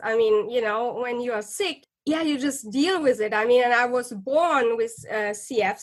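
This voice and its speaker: With a German accent, a woman talks at a fairly slow pace in a high pitch. Her intonation is lively. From Germany. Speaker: psychologist and author. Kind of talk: interview. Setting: podcast interview.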